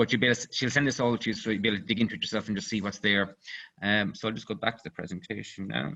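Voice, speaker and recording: In an Irish accent, a man with a fairly low pitch talks at a very fast pace in a bright, sharp tone, with vocal fry and ordinary pitch variation. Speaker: company CEO, engineer. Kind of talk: webinar presentation. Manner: halting, many fillers.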